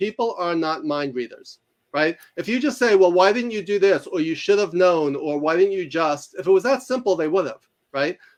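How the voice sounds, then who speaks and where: A man with a New York accent, high-pitched, at a fairly quick pace and with lively intonation. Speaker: author and university instructor. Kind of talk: interview. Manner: fast; articulate.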